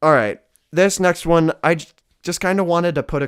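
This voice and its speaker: The voice is a man's. The background is silent and the recording very clean. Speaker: guitar gear reviewer. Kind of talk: gear comparison tutorial. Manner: casual, hesitant.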